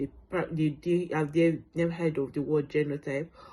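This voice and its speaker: A woman with a Nigerian accent speaks at a fairly quick pace in a very deep, low pitch, her tone dark and mellow and her intonation flat and monotone. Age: 30s. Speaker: sickle cell patient sharing her story. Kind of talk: testimony. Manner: hesitant, many fillers.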